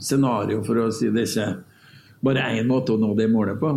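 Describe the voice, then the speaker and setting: The man's voice has a dark, mellow tone at a medium pitch with fairly even intonation. Audible room echo surrounds it. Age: 40s. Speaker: oil company sustainability director. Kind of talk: panel discussion.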